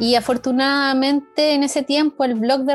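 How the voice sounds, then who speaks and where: This woman's voice is high in pitch. She talks rather slowly. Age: 30s. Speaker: knitting teacher and designer. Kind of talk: casual interview.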